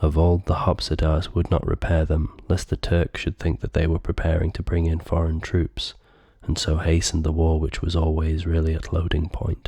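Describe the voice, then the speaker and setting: The speaker is soft-spoken. The pace is moderate. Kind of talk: audiobook reading; ASMR.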